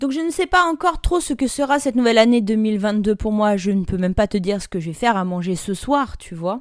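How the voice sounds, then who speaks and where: Barely pausing, a woman with fairly high pitch races along at a fairly quick pace with very wide pitch swings, recorded very cleanly against a silent background. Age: 30s. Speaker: life coach and podcast host. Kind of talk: casual solo podcast monologue.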